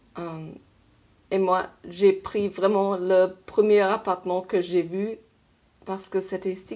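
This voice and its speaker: A woman's dark, mellow, medium-pitched voice with a strong German accent at a very slow pace, on a very clean recording with a silent background. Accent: strong foreign (German) accent in French. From Germany. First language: German (speaking French). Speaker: vlogger. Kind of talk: casual vlog monologue. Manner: halting, with hesitations.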